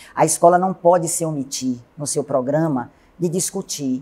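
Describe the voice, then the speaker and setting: The recording is very clean, and the background is silent. The pace is fairly slow, and the pitch varies in an ordinary way. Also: woman. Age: 60s. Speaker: city councillor and teacher. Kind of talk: TV interview. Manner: formal.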